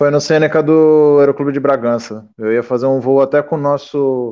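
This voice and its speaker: A man with a plain, everyday voice, fairly high pitch and fairly even intonation. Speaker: aspiring pilot, former bus driver. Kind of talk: casual chat. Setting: video call.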